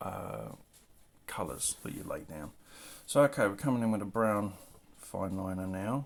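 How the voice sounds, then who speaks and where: Long, frequent pauses break up a man's fairly low-pitched speech, delivered at a moderate pace with ordinary pitch variation. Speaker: comic artist. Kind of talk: tutorial. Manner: mumbling; soft-spoken.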